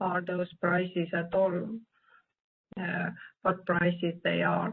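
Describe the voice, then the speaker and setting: Very slowly and in a flat monotone, a woman speaks at a medium pitch. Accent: non-native. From Nordic country. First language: not English. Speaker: statistician presenter. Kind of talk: Q&A answer at virtual meeting. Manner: halting, many hesitations.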